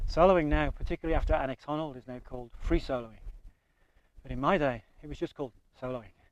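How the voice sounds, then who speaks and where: A man with a Birmingham accent talks at a very fast pace, his fairly high pitch showing ordinary pitch variation. The sound is dry and close, with no echo. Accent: English Midlands (Birmingham). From England, Birmingham. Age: 60s. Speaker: veteran rock climber. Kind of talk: interview. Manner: conversational, some hesitations.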